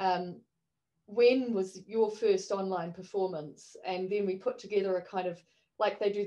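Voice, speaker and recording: Monotone, flat intonation marks this woman's speech in a New Zealand accent. Her tone is dark and mellow, and her pace is moderate. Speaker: online performance artist. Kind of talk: panel discussion.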